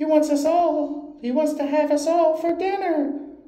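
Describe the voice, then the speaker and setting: A put-on character voice, squeaky and high, holds a monotone, flat intonation at a moderate pace with slight echo. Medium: read story.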